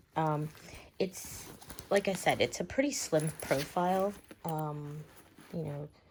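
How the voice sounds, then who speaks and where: A quiet woman speaks at a very deep, low pitch with ordinary variation, moving at a fairly slow pace with long, frequent pauses. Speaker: bag reviewer vlogger. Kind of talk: product review. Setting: at home. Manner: quiet, talking low; casual, many fillers.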